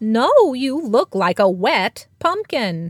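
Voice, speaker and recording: In a put-on character voice, a woman speaks at a very slow pace with a high pitch and very wide pitch swings. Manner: teasing, then dry.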